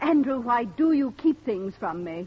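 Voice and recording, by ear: Putting on a character voice, a woman speaks at a fairly slow pace with a fairly high pitch, big pitch swings and a slightly husky edge.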